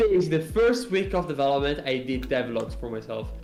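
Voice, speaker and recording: With a non-native accent, a man speaks in audible room echo while music plays in the background. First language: not English. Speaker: indie game developer. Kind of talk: casual interview on a live stream. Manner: halting, many fillers and restarts.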